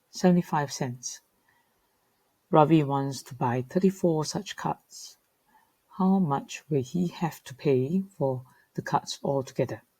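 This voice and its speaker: Very slowly, a woman speaks in a dark, mellow tone that is somewhat breathy. Her pitch is fairly low and her intonation lively. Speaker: teacher. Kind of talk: tutorial.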